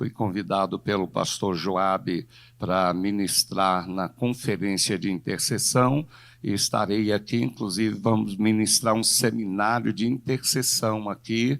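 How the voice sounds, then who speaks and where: A man with a normal speaking voice, fairly low pitch and ordinary pitch variation at a fairly slow pace, on a very clean recording with a silent background. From Brazil, São Gonçalo (Rio de Janeiro). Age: 60s. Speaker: pastor. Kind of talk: sermon. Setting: church.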